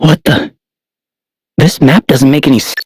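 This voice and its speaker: A man's put-on character voice, raspy and fairly high, at a moderate pace with a dry, close sound and no echo. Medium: video game.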